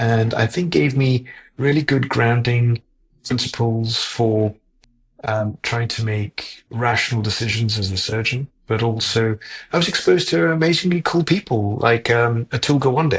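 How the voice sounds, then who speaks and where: A man's somewhat breathy voice, medium in pitch, with ordinary pitch variation and a fairly slow pace. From Zimbabwe. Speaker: heart surgeon. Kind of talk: interview. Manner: halting, many fillers.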